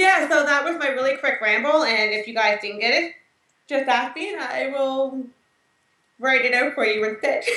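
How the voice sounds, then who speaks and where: In a room with audible echo, a woman uses a raised, projected voice at high pitch, with ordinary pitch variation and a moderate pace. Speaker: mental health video co-host. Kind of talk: casual informative chat.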